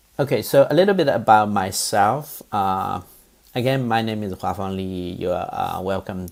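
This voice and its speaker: The speaker talks at a moderate pace. There is a slight Chinese accent. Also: man. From eastern China, Zhejiang. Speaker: professor. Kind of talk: lecture. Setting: recorded online course. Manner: halting, many fillers.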